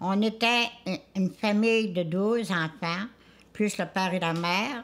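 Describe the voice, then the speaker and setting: A woman speaks in a Charlevoix accent at a medium pitch. She goes at a very slow pace, with ordinary pitch variation. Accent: rural Quebec French (Charlevoix). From Quebec, Charlevoix (Isle-aux-Coudres). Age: 90s. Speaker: elder sharing food traditions. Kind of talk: casual interview testimony. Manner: halting, with self-corrections.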